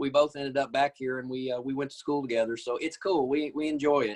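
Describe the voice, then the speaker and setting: A man's fairly high voice with an Arkansas accent, fairly even intonation and a very fast pace. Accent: US Southern (Arkansas). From Arkansas, Batesville area. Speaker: nurse practitioner. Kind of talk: interview. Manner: halting.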